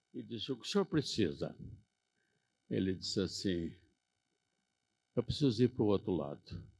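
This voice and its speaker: Pausing long and often, a man with a fairly low pitch and vocal fry talks at a moderate pace, his pitch swinging very widely. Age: 80s+. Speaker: Rotary member, conference speaker. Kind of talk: conference speech.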